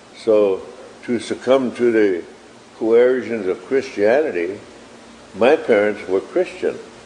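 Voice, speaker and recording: Amid noticeable background noise, a man speaks at medium pitch and a very slow pace, with long, frequent pauses. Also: ordinary pitch variation. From South Dakota, Dakota reservation. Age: 70s. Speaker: Native elder and activist. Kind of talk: interview testimony.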